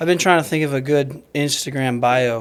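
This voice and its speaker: With an American accent, a man speaks in a plain, everyday voice. His pitch is fairly high and his intonation fairly even. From Arizona (Snowflake). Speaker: investor. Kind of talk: podcast interview. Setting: studio.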